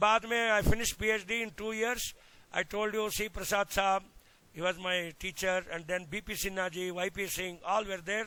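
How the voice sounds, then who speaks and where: A man with a high pitch uses a raised, projected voice and a bright, sharp tone at a moderate pace. His intonation is fairly even, and the sound is dry and close with no echo. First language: Kannada (speaking Hindi). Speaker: agricultural extension scientist. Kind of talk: lecture. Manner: mixes Hindi and English.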